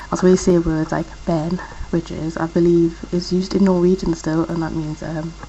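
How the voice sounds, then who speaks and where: With a Geordie accent, a woman speaks in a fairly low, monotone, flat voice amid noticeable background noise. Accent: Geordie, toned down. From northeast England, Newcastle. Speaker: vlogger. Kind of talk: casual vlog talk. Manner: fast.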